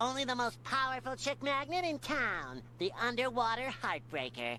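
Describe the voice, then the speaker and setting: Over clear background noise, a man performs a cartoonish character voice with an energetic tone, a moderate pace and very even loudness. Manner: bright, energetic.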